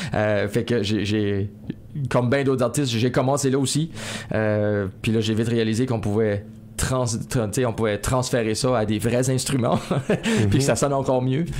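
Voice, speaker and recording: A man with a medium pitch speaks at very even loudness and fairly even intonation. He pauses long and often, with noticeable background noise behind him. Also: moderate pace. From Acadian New Brunswick, Néguac region. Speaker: singer-songwriter. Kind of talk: interview. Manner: hesitant, many repetitions.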